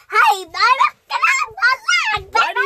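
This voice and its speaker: An extremely high-pitched put-on character voice. The pace is fairly quick. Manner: gruff, shouting.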